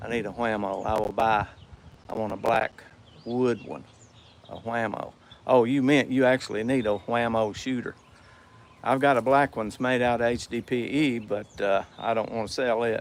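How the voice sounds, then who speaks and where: A man speaks at a moderate pace and medium pitch. His intonation is fairly even, broken by long, frequent pauses. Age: 60s. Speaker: slingshot maker and livestreamer. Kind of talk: casual livestream chat reading viewer comments. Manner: halting, many repeats and fillers.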